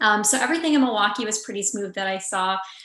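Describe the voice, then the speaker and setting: Noticeable noise fills the background. Over it, a woman talks. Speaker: reporter. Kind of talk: panel discussion. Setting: video call.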